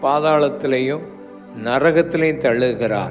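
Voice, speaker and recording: There is music in the background. A man speaks at a fairly high pitch with fairly even intonation. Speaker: preacher. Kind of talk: sermon / church service preaching.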